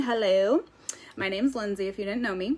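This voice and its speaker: Noticeable background noise accompanies a woman speaking at a fairly quick pace. Her medium pitch shifts in an ordinary way. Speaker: skincare sales consultant. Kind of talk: live stream sales presentation. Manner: casual with many fillers.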